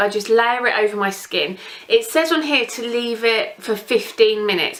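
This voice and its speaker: With an English accent, a woman speaks at a fairly high pitch with ordinary pitch variation over noticeable background noise. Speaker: beauty vlogger. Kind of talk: casual product review. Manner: fast.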